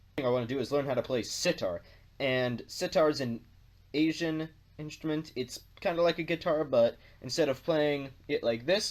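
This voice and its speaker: A man with an American accent speaks at a moderate pace in an ordinary speaking voice, fairly high-pitched for a man with ordinary pitch variation, on a very clean recording with a silent background. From North America. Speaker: video blogger. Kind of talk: casual vlog monologue.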